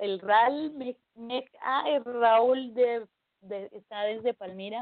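Pitched fairly high, the woman's voice varies in an ordinary way. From Colombia. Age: 30s. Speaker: Wiccan priestess and pagan community organizer. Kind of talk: interview.

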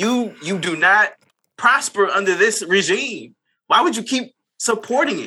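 In a raised, projected voice with a bright, sharp tone, the speaker goes at a fairly slow pace with lively intonation. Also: man, high pitch for a man. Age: 30s. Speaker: podcast co-host, people manager. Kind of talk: casual chat.

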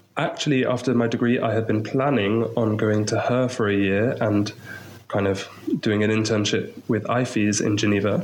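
With a southern English accent, a man speaks at a fairly low pitch with fairly even intonation, and audible room echo fills the recording. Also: very even loudness. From England, Maidenhead near London. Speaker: missionary English teacher. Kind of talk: interview.

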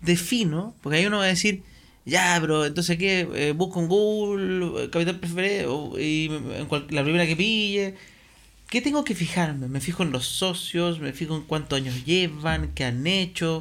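Speaking at a fairly slow pace, a man with a high pitch uses ordinary pitch variation. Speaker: podcast host. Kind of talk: casual interview.

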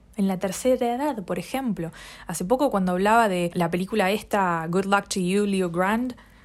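At a fairly quick pace, a woman speaks with medium pitch and ordinary pitch variation. The recording is very clean with a silent background. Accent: Rioplatense. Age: 20s. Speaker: podcaster. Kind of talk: solo monologue.

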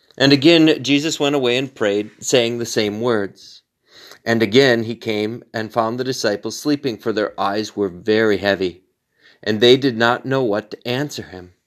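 A man speaks in an ordinary speaking voice at a medium pitch and moderate pace, with ordinary pitch variation. The recording is very clean, with a silent background. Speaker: pastor leading daily prayer. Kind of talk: fervent prayer. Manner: solemn, earnest, pleading.

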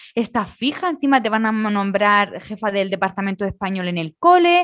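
A woman with an ordinary speaking voice talks at a moderate pace and fairly high pitch against a quiet background. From Spain. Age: 30s. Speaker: podcast co-host. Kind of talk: casual chat.

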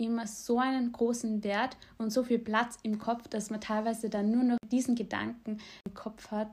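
Somewhat breathy delivery with monotone, flat intonation. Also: woman, fairly high pitch for a woman, moderate pace. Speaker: podcast co-host. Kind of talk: casual chat.

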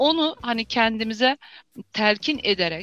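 Against a quiet background, a woman speaks at a fairly high pitch with a bright, sharp tone and lively intonation. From Azerbaijan. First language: Azerbaijani (speaking Turkish). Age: 50s. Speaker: doctor and healer. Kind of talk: interview.

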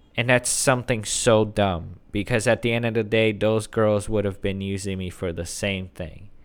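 Speaking with a plain, everyday voice, a man keeps a moderate pace and fairly even intonation in a very clean recording with a silent background. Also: fairly low pitch for a man, hardly any pauses. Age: 30s. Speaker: YouTuber and podcast host. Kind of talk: casual solo monologue.

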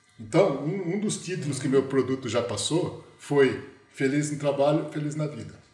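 Over music in the background and audible room echo, a man speaks at a moderate pace in a fairly high voice with ordinary pitch variation. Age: 50s. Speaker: management consultant. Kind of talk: casual chat. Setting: video call.

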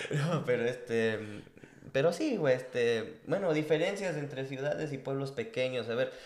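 A man with a fairly high pitch, fairly slow pace, audible room echo. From Mexico. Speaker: podcast co-host. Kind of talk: casual chat.

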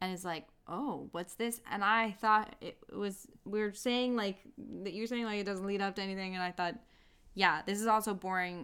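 Speaking at a moderate pace and medium pitch, a woman has an ordinary speaking voice. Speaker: podcast co-host. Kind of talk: casual chat, film review.

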